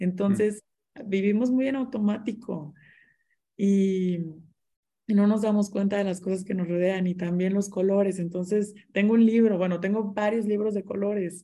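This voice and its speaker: Her tone is dark and mellow, with a somewhat breathy quality. This woman's voice sits at a medium pitch. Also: fairly even intonation, moderate pace. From Mexico, Monterrey. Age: 20s. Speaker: interior designer and business owner. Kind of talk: casual interview chat.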